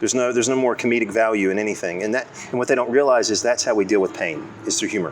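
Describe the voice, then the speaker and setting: A man talks at a very fast pace with medium pitch and ordinary pitch variation. Noticeable background noise runs behind him. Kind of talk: casual chat. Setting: coffee shop. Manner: stutters at times.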